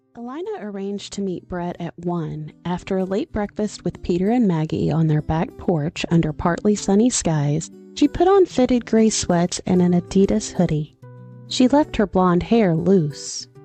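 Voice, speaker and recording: A woman's medium-pitched voice with lively intonation at a moderate pace, dry and close with no echo, over background music. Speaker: audiobook narrator. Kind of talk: audiobook narration.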